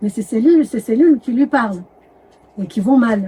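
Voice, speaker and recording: A woman's somewhat breathy voice with a dark, mellow tone, at a moderate pace. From Madagascar. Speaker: doctor and medical anthropologist. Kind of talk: interview. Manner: hesitant, with self-corrections.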